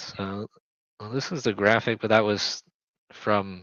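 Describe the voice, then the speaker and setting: A man with an ordinary speaking voice, fairly low pitch and fairly even intonation. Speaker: basketball team owner and podcast host. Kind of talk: casual chat. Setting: live stream.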